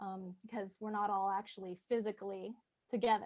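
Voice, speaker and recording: A soft-spoken woman talks at a moderate pace. Her tone is dark and mellow. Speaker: student leader. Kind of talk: audience question. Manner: halting, many fillers.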